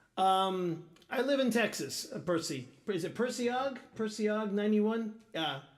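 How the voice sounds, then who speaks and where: A man's high-pitched voice at a moderate pace, with lively intonation and audible room echo. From Portuguese-speaking country. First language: Portuguese. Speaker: guitarist streamer. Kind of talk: live stream chat. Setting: live stream. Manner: halting.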